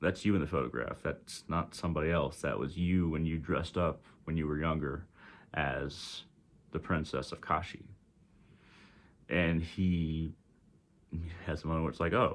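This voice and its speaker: A man with a Texas accent speaks in a very deep, low pitch with vocal fry and fairly even intonation. His moderate pace is broken by long, frequent pauses on a very clean recording with a silent background. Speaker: spiritual teacher. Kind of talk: storytelling. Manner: halting, many fillers.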